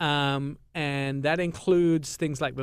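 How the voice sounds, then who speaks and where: On a very clean recording with a silent background, a man with an English accent speaks at a fairly slow pace and a fairly high pitch. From England. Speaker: radio host. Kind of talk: radio show chat.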